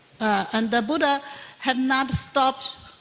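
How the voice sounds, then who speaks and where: A woman speaks with a Chinese accent. Noticeable background noise runs behind her. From Taiwan. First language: Mandarin Chinese. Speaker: Buddhist nun and professor. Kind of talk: panel Q&A answer. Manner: halting, many fillers.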